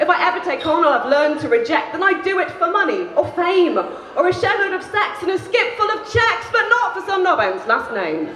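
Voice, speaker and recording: A woman speaks at a fairly quick pace with hardly any pauses, her extremely high pitch swinging very widely, amid audible room echo and light background noise. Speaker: spoken word poet. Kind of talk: live spoken word poetry performance. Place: stage. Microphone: handheld.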